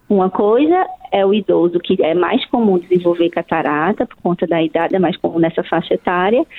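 A woman talks at a moderate pace. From Brazil, outside Brasília. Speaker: ophthalmologist. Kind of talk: radio interview.

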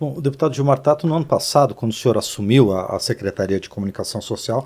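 A man with a plain, everyday voice talks at a fairly high pitch with lively intonation. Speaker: radio and TV host. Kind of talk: interview. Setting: studio.

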